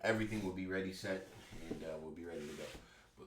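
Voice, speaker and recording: Audible room echo surrounds a man speaking in an animated tone. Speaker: YouTube reaction commentator. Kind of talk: reaction commentary.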